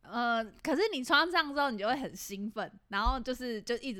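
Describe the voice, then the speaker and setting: A woman's bright, sharp voice with lively intonation, on a very clean recording against a silent background. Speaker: podcast co-host. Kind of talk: casual chat. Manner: animated.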